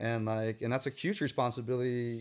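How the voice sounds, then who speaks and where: On a very clean recording with a silent background, a man speaks at a medium pitch and a moderate pace. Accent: Northern California. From San Francisco Bay Area (Tenderloin, Richmond). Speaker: muralist and artist. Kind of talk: casual interview. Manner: halting, many fillers and repeats.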